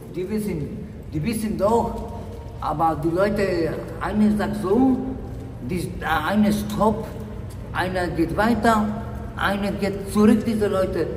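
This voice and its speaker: A speaker with a Polish accent talks at a very slow pace, with fairly even intonation and long, frequent pauses. Noticeable background noise is present. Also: man, high pitch for a man. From Poland. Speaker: homeless man. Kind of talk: street interview. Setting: outdoors. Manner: halting. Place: station. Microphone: phone near.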